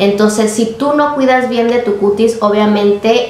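A woman's voice with audible room echo. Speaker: beauty vlogger. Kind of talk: casual vlog chat. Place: home room.

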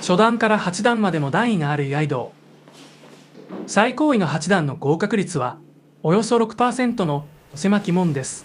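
Long pauses come often while the speech moves at a moderate pace. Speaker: TV news narrator. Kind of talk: TV news narration.

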